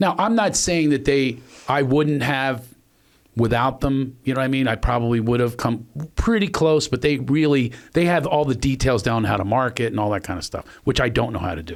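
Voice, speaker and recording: A man with an American accent at medium pitch, fairly quick in pace and lively in intonation, on a very clean recording with a silent background. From Philadelphia. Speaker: podcast host and comedian. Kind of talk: casual chat. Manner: fast.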